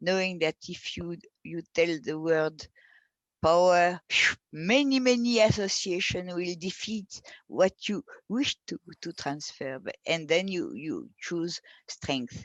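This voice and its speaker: Speaking in a French accent, a woman with a fairly low pitch talks at a very slow pace with lively intonation and big swings in loudness, the sound dry and close with no echo over a quiet background. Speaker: philosopher. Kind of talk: interview. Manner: halting.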